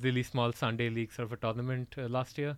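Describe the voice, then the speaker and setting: In an Indian accent, a man talks at a medium pitch on a very clean recording with a silent background. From Odisha, east coast of India. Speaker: cricket enthusiast guest. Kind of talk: casual chat.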